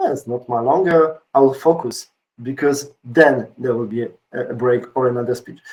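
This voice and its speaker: With a medium pitch, the man delivers his words at a moderate pace. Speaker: conference speaker. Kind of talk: conference talk. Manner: energetic.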